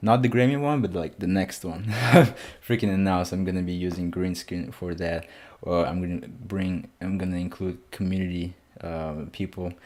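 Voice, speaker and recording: At a moderate pace, a man with a non-native accent speaks in a very deep, low pitch and a dark, mellow tone, with ordinary pitch variation. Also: very clean recording, silent background. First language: not English. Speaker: music reaction youtuber. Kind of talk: casual album reaction.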